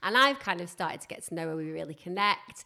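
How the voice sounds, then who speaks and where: Very deep and low in pitch, a woman's voice carries vocal fry and ordinary pitch variation on a very clean recording with a silent background. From northern England. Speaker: podcast host. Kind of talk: casual chat.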